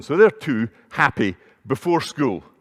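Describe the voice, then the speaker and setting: In a Scottish accent, a man talks at a moderate pace with very wide pitch swings, in a dry, close sound with no echo. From Scotland, Edinburgh. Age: 60s. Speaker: conference speaker, entrepreneur. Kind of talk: conference talk. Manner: conversational.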